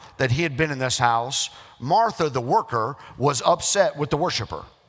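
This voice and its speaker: A man with an American accent speaks at a fairly high pitch, with very wide pitch swings. Noticeable background noise runs underneath. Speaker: pastor. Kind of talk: sermon preaching to a congregation.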